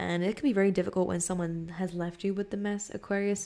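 A woman speaks at a fairly quick pace with fairly even intonation. Her tone is dark and mellow. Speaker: tarot reader. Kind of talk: casual tarot reading talk. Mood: calm, thoughtful. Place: home room. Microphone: studio mic.

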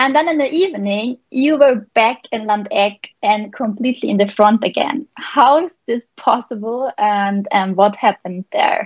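Against a quiet background, a woman talks at a fairly slow pace and fairly high pitch with lively intonation and hardly any pauses. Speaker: paragliding pilot and interviewer. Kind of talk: live interview. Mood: cheerful, smiling. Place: home room. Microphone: video call.

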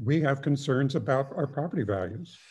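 With an American accent, a man speaks in a somewhat breathy voice with ordinary pitch variation against a quiet background. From Petaluma, California; California. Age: 70s. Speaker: neighboring resident. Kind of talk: public comment. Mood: concerned, mildly worried. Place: home room. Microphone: video call.

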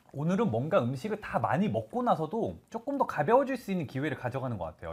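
This man talks very fast, his high voice swinging very widely in pitch. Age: young. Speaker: live commerce shopping host. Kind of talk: live shopping broadcast. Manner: animated. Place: studio. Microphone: lapel.

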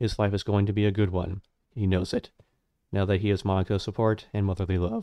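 The speaker reads aloud plainly against a quiet background.

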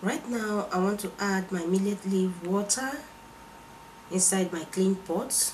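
A woman at medium pitch, fairly slow, with long and frequent pauses and noticeable background noise. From Nigeria. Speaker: cooking channel host. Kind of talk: cooking tutorial. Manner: animated.

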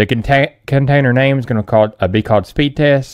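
Ordinary pitch variation over a quiet background. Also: man. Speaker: tech tutorial creator. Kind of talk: tutorial.

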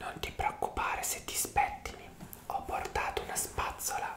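Whispering and soft-spoken, a man speaks at a fairly slow pace. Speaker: hair massage roleplay host. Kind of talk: soft roleplay chat, ASMR-like. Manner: soft, intimate ASMR whisper. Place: home room. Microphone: earbuds.

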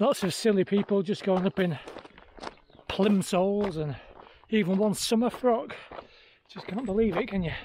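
The sound is dry with no echo, under light background noise. The speech moves at a moderate pace with ordinary pitch variation. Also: man, high pitch for a man. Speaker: fell runner vlogger. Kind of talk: casual vlog chat. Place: open country. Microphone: phone near.

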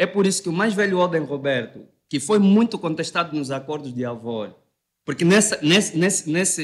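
Fairly high in pitch, this man's voice has ordinary variation. He keeps a moderate pace over a quiet background. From Angola. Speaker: debate panelist; panelist. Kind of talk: debate. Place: studio. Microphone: studio mic.

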